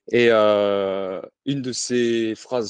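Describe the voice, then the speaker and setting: The sound is dry and close with no echo as a man with a medium-pitched voice speaks against a quiet background. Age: 40s. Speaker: former army officer turned business consultant. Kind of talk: podcast interview.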